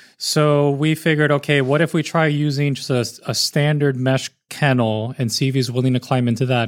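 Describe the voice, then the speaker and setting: A man with an American accent and a plain, everyday voice talks at a moderate pace and medium pitch, his intonation fairly even, on a very clean recording with a silent background. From US South, Miami, Florida. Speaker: zookeeper. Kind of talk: casual interview chat. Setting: on a boat at a zoo.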